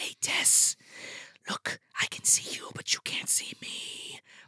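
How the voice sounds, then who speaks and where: A put-on character voice with a raspy edge. The pace is fairly slow. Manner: whispering, menacing.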